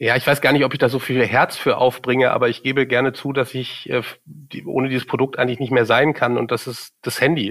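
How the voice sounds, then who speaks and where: The words come at a fairly quick pace. Intonation stays monotone and flat throughout. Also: man, medium pitch for a man. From Germany, Cologne. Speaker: marketing executive. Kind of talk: interview. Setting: studio.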